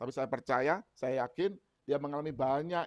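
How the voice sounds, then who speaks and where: A man talks very fast with a quiet background behind him. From Indonesia. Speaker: preacher. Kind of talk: sermon. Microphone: earbuds.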